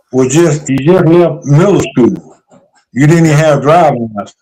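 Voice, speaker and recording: In a North Carolina accent, the speaker keeps a moderate pace and ordinary pitch variation. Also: man. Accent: US Southern (North Carolina). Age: 70s. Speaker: retired basketball coach. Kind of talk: interview.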